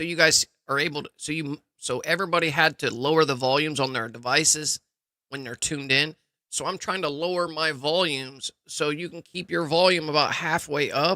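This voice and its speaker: Loud and bright with a sharp tone, the voice moves at a fairly quick pace. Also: man, fairly high pitch for a man, dry, close sound with no echo. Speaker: gaming live streamer. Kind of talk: live gameplay stream chat. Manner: casual, energetic.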